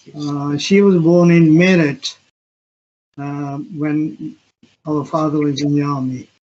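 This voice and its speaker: A man's fairly high-pitched, monotone voice with flat intonation, at a very slow pace with long, frequent pauses. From Punjab, India. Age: 70s. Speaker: restaurant owner. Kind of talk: interview.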